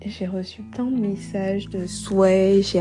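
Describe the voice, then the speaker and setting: Music plays behind a woman speaking. Her pitch sits in the medium range, and her intonation stays fairly even. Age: 20s. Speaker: podcaster. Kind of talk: solo monologue. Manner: unscripted, hesitant.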